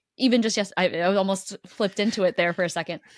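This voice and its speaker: This voice carries an American accent. Nothing can be heard behind it in the very clean recording. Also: woman. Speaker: podcast host. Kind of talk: casual chat. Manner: animated.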